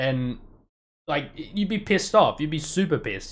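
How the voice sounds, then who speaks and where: Someone with an Australian accent talks at a fairly quick pace. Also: man. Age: 30s. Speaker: youtuber. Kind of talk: casual live stream commentary. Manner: fast, stumbling.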